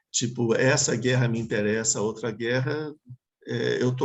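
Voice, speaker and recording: Medium pitch from a man, moderate pace, fairly even intonation. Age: 60s. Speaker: Buddhist teacher. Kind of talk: dharma talk Q&A. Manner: halting.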